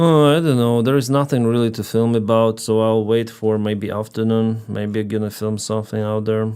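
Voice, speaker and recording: A man with a Russian accent talks at medium pitch in a dark, mellow tone. His intonation stays fairly even, with hardly any pauses. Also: very clean recording, silent background. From Ukraine. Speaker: live streamer and commentator. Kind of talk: casual live stream chat. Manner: slow, pausing between sentences.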